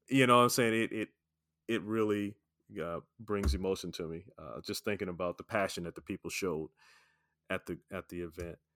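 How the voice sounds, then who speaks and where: In a dry, close recording with no echo, a man with a fairly low pitch and ordinary pitch variation talks at a fairly quick pace, with long, frequent pauses. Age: 50s. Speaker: podcast host. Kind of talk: casual interview. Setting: remote call.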